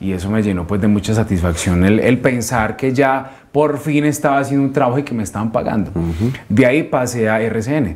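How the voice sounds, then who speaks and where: A man speaks at a fairly low pitch and a moderate pace. His intonation is lively. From Colombia, Antioquia (paisa). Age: young. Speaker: radio announcer and station director; radio host, interview guest. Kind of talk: interview. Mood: relaxed, reminiscing. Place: studio.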